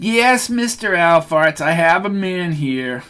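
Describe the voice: In a put-on character voice, a man whines at a high pitch with lively intonation and a very slow pace.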